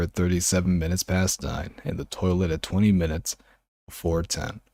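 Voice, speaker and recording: A man's very deep, low voice in a soothing, calm tone at a fairly quick pace, with a dry, close sound and no echo. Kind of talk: audiobook reading.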